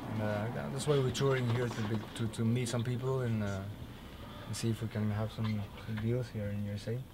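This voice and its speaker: Audible room echo colors a man's voice. He talks at a fairly quick pace with fairly even intonation. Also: medium pitch for a man. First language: French. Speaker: metal band member. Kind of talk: interview. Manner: halting.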